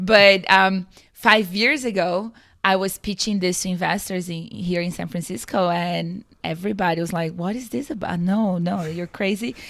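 On a very clean recording with a silent background, a woman speaks at a medium pitch. She has a Portuguese accent, a moderate pace and ordinary pitch variation. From Brazil. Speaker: climate tech founder and CEO. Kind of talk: interview.

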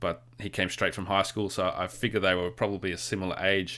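An Australian accent comes through in a bright, sharp tone at a fairly quick pace. The intonation stays fairly even, and the recording is very clean with a silent background. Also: man. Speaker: podcast co-host. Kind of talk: casual chat.

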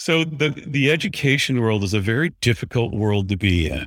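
Fairly low-pitched man in a very clean recording with a silent background. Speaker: university IT director. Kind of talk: casual chat. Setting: in person at trade conference. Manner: loud.

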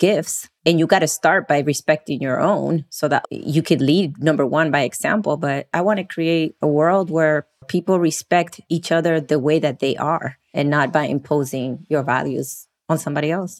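A woman with an American accent has an unremarkable speaking voice, fairly low in pitch with ordinary pitch variation. She talks at a fairly quick pace with hardly any pauses, the sound dry and close with no echo. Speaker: human resources professional. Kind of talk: casual panel discussion.

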